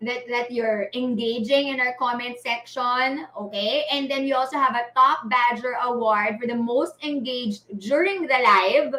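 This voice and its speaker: A woman speaks at a high pitch and a fairly slow pace. Her pitch varies in an ordinary way. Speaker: livestream host. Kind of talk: live event announcements. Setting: live stream.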